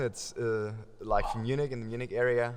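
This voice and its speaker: With a German accent, a man of medium pitch speaks at a moderate pace. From Germany. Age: young. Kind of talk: podcast interview.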